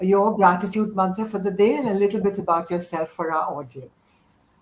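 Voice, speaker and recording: Her voice sits at a medium pitch. This woman sounds somewhat breathy. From India. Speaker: business mentor, interviewer. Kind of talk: interview hosting.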